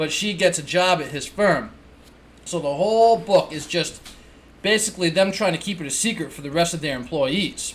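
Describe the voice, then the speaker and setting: A man with a New England accent speaks at a moderate pace in a high pitch. His loudness swings widely. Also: ordinary pitch variation. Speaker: book reviewer. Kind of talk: casual book review. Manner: casual, with fillers and restarts.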